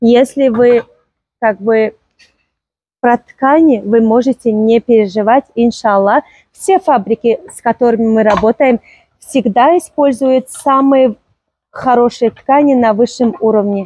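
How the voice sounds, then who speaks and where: Against a quiet background, with dry sound and no echo, a woman with a Tajikistan accent speaks at a very slow pace with long, frequent pauses, in a high pitch and dark, mellow tone, with ordinary pitch variation and big swings in loudness. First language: Tajik (speaking Russian). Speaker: clothing seller presenting products on video. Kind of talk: sales pitch. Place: market.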